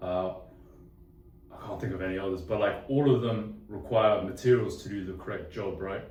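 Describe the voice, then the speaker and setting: Audible room echo surrounds a man with a London accent and a fairly low voice. He talks at a moderate pace with ordinary pitch variation. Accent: decent London. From London, England. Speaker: engineering student. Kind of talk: casual interview. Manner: casual, with many fillers.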